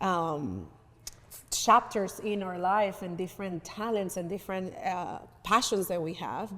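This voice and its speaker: Fairly slow, fairly even speech from a woman at medium pitch, bright and sharp in tone. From Venezuela, raised in North Carolina. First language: Spanish. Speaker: community advocate. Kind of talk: talk show interview. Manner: halting, with many restarts.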